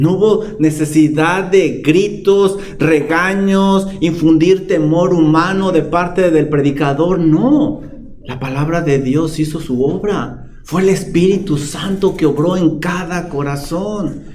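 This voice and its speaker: A man speaks at a very slow pace with a high pitch and ordinary pitch variation. Noticeable background noise and audible room echo are present. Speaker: pastor. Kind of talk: sermon. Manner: calm, not shouting.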